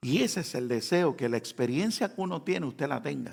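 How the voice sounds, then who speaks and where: With vocal fry and very wide pitch swings, a man speaks at a moderate pace in a fairly high pitch. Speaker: pastor. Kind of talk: sermon.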